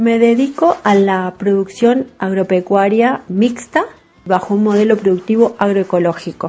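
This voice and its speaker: A woman at a medium pitch uses a normal speaking voice with fairly even intonation. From southern Córdoba, Argentina. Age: 40s. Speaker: farmer. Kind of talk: testimony.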